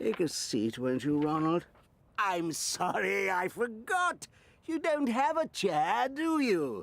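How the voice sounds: A cartoonish character voice sits at a middle pitch. The delivery is fairly slow.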